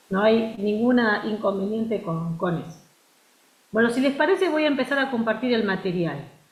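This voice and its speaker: A woman with a fairly high pitch and lively intonation at a moderate pace, amid noticeable background noise and audible room echo. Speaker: university lecturer. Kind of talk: lecture. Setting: video call.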